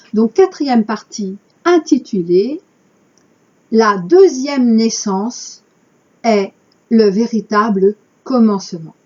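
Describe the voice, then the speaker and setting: A woman talks at a very slow pace in a fairly high, somewhat breathy voice. Her intonation is lively, broken by long, frequent pauses. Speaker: spiritual channel host. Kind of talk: reading aloud with commentary.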